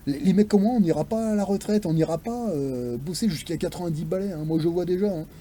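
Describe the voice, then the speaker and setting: A man talks at a fairly quick pace with lively intonation. His voice has a dark, mellow tone. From France, near the Swiss border. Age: 40s. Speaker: video blogger on investing. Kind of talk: casual monologue rant. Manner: animated, hesitant with many fillers.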